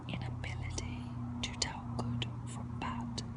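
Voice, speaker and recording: Whispering and soft-spoken, a man talks over noticeable background noise. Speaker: ASMR artist. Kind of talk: whispered reading of philosophical text. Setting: outdoors, amateur microphone. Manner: whispered, soft, slow.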